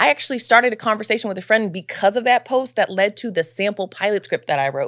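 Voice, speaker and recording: At a very fast pace, a woman talks in a fairly high, animated voice, the sound dry and close with no echo. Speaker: podcast host, writing teacher. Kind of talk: casual chat. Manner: animated, expressive.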